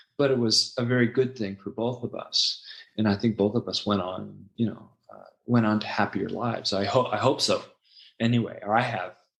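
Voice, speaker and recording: A man with a Californian accent at a fairly quick pace, his intonation fairly even. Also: medium pitch for a man. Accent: Californian American English. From US West Coast, Los Angeles (San Fernando Valley). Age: 60s. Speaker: founder of an ESL teaching website, former English teacher. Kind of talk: interview podcast, personal life story. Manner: hesitant, many fillers and restarts.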